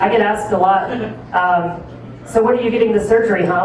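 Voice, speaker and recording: Over noticeable background noise, a woman with an American accent and medium pitch talks at a fairly quick pace with fairly even intonation. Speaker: stand-up comedian; tattoo artist. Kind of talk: stand-up comedy set to a live audience. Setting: live comedy club with audience.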